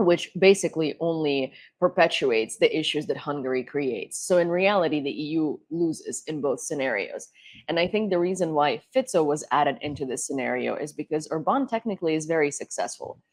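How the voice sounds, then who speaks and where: Over a quiet background, a woman with a Ukrainian accent speaks at a very deep, low pitch. Her intonation is lively and her pace fairly quick. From Ukraine. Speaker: political talk show host. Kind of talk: panel discussion.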